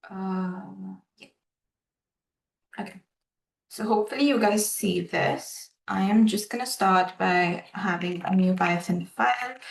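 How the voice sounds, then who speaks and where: The somewhat breathy delivery is broken by long, frequent pauses. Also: woman, medium pitch for a woman, ordinary pitch variation. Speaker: AI developer giving a coding tutorial. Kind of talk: live coding tutorial. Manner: halting, many filler ums.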